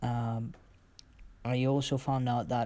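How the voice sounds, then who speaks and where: On a very clean recording with a silent background, a man speaks at a medium pitch. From Colombia, Cali. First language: Spanish. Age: 20s. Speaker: football coach. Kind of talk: presentation. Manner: halting.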